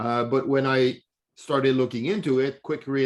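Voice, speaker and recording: A plain, everyday voice delivered at a fairly quick pace. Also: man. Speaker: blockchain association head. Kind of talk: online presentation.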